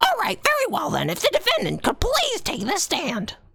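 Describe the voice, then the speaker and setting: In a put-on character voice pitched extremely high, the speaker talks at a moderate pace. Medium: game stream. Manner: formal, slightly stammering.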